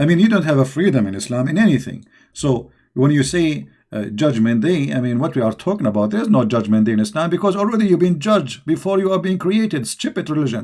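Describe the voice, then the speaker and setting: Very fast and fairly high, this man's voice has a dark, mellow tone and very wide pitch swings. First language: not English. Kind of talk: live-stream polemic monologue. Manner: heated, mocking; halting with restarts.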